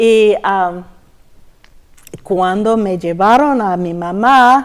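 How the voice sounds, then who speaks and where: Very slow in pace, the speech keeps ordinary pitch variation. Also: woman, medium pitch for a woman. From Texas. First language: English (speaking Spanish). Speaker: church member giving testimony. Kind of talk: testimony interview. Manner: halting, searching for words.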